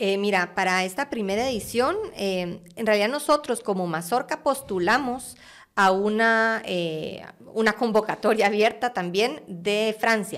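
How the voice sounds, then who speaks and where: Speaking with a Guatemalan accent, a woman uses a fairly high pitch with ordinary variation at a fairly slow pace. The recording is very clean, with a silent background. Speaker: art curator. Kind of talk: interview conversation.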